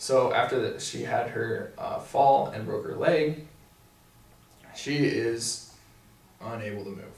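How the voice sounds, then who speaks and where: A man with an American accent at a fairly slow pace, with audible room echo and noticeable background noise. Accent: Missouri accent, comes out now and then. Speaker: physical therapy student. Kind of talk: casual review chat.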